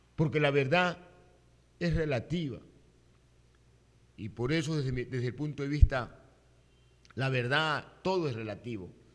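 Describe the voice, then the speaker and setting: This man talks at a medium pitch and leaves long, frequent pauses. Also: ordinary pitch variation. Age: 60s. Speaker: radio and TV news commentator. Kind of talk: opinion commentary. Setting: studio. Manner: halting, with frequent self-corrections.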